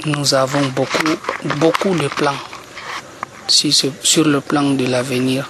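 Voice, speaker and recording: A man with a fairly high pitch in a monotone, flat delivery at a very slow pace, with long, frequent pauses and noticeable background noise. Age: young. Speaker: youth association leader. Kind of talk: radio interview. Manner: halting.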